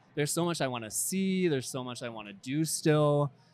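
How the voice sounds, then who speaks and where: A man with an American accent speaks with ordinary pitch variation over music in the background. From Pennsylvania, rural. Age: 30s. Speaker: dating show contestant. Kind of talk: casual chat. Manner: halting, many fillers.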